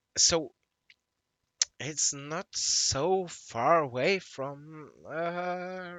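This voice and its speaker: A man with a non-native accent speaks in a high pitch with ordinary pitch variation. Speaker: gaming YouTuber. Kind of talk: gameplay commentary. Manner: halting, many fillers.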